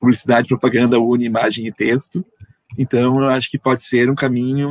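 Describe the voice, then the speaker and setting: In a dry, close sound with no echo, a man speaks at a fairly quick pace and medium pitch with fairly even intonation. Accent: Rio Grande do Sul. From southern Brazil, Erechim, Rio Grande do Sul. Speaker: comics artist and researcher. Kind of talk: online panel conversation.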